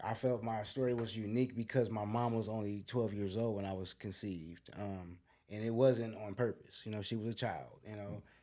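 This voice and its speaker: A man with an American accent speaks at a fairly quick pace and a fairly low pitch, his tone dark and mellow and his intonation fairly even. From US inner city. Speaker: guest sharing life story, YouTuber and author. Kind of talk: podcast interview, personal testimony. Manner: casual, slangy.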